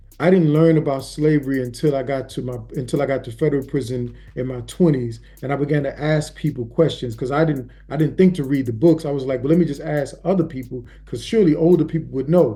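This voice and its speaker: A man talks at a very fast pace with hardly any pauses, in a fairly high pitch. His voice is somewhat breathy with a dark, mellow tone and ordinary pitch variation. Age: 50s. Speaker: prison abolitionist activist. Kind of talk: interview.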